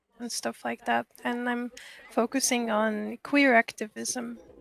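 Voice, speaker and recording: A woman's fairly high voice in a strong French accent, flat and monotone at a very slow pace, with a dry, close sound and no echo. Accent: strong French-sounding. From Russia. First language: Russian. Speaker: university student. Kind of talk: casual chat.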